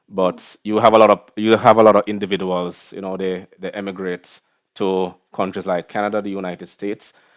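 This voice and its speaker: In a Caribbean accent, a man talks fairly quickly in a fairly low, monotone voice with flat intonation. His loudness swings widely. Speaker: podcast host. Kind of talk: interview conversation.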